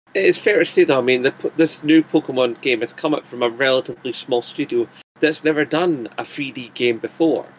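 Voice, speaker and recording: A man speaks fairly quickly in a strong Scottish accent. His voice sits fairly high, with ordinary pitch variation. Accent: thick Scottish. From Scotland. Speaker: YouTuber. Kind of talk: casual chat.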